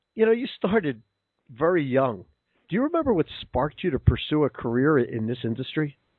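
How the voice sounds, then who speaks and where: The speaker talks at a fairly quick pace with a Philadelphia accent. The pitch swings very widely. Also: man, fairly high pitch for a man. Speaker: podcast host. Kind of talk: interview; scripted introduction.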